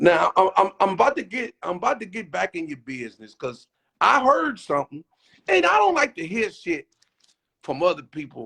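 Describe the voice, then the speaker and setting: A man's raised, projected, high-pitched voice at a moderate pace, with very wide pitch swings and big swings in loudness, in a dry, close sound with no echo. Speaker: show host. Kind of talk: casual interview. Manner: stammering repetitions.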